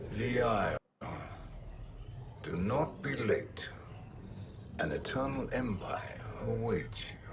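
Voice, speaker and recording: Using a put-on character voice at medium pitch, a man speaks fairly slowly with long, frequent pauses. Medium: video game. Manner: cold, calculating.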